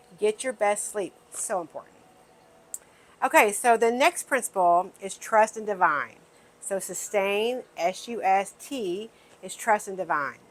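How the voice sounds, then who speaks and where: In an American accent, a woman with an ordinary speaking voice talks fairly slowly at medium pitch, with ordinary pitch variation and big swings in loudness. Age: 60s. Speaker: wellness video host. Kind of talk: casual talk to camera.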